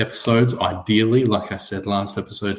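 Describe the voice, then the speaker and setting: Soft-spoken and somewhat breathy, a man talks with an Australian accent. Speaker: sports podcaster. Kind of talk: solo podcast talk. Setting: home recording, late at night.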